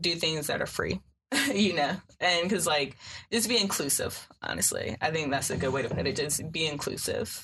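Delivered in a normal speaking voice, the speech moves at a moderate pace with lively intonation and very even loudness. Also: woman, fairly low pitch for a woman. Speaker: sociology student. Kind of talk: casual chat.

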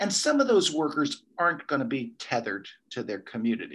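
Speaking at a moderate pace with lively intonation, a man has a plain, everyday voice. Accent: American. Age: 60s. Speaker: ecology professor. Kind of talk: interview.

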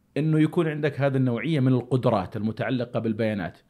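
A man talks at a fairly quick pace. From Saudi Arabia. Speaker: podcast host. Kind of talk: casual chat.

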